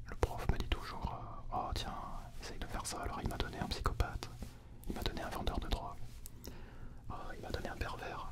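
A soft-spoken man is whispering. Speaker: actor vlogger. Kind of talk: casual vlog chat. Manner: soft close-mic ASMR whisper. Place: studio. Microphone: studio mic.

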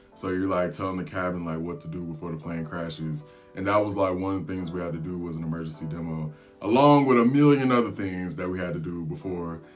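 Over faint background music, a man talks very fast in a very deep, low voice. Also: ordinary pitch variation. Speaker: flight attendant vlogger. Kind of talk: casual vlog storytelling. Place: home room.

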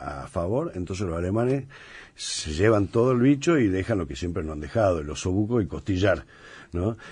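Speaking at a moderate pace, a man with a very deep, low, somewhat breathy voice uses lively intonation and a dark, mellow tone. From Argentina. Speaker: chef and restaurant owner; interview guest. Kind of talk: casual interview. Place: studio.

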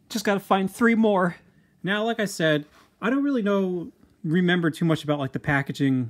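Here is a man with an American accent and an ordinary speaking voice. He talks at a moderate pace with lively intonation. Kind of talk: product review. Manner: casual, filler-heavy.

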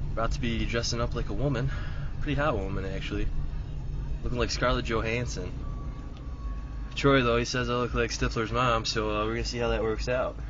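The sound is dry with no echo, though noticeable background noise is present. A man speaks at a fairly quick pace. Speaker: vlogger. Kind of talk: casual vlog chat. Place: car. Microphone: phone near.

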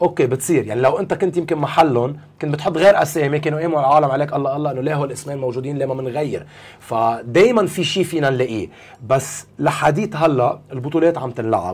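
A man with a fairly high pitch speaks at a fairly quick pace with ordinary pitch variation. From Lebanon. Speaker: basketball coach; basketball club head coach, guest. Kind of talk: interview. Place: studio.

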